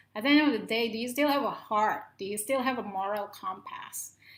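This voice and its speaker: A woman speaks with a Filipino accent. Her intonation is lively. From Philippines, Ilocano speaker. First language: Ilocano. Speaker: motivational talk show host. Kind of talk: solo talk to camera. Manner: impassioned.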